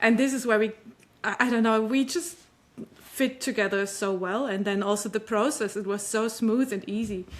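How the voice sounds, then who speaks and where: The intonation stays fairly even, and the pace is moderate. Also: woman. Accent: non-native. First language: not English. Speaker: author. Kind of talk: interview. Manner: halting.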